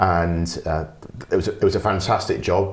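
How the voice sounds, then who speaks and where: Audible room echo surrounds a man with a London accent whose very deep, low, somewhat breathy voice moves at a moderate pace. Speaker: business development consultant. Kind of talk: podcast interview. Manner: conversational, with hesitations.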